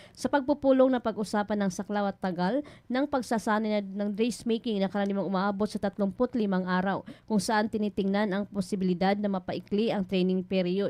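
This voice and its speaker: The voice has a dark, mellow tone and fairly even intonation at a fairly quick pace. The background is quiet. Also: woman, medium pitch for a woman. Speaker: radio news reporter. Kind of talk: radio news report.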